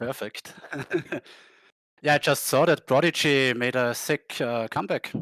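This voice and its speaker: Long, frequent pauses from a man with a German accent, fairly slow and fairly even in intonation, on a very clean recording with a silent background. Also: medium pitch for a man, dry, close sound with no echo. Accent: German-speaking. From Austria. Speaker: poker player. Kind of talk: casual interview. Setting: live stream.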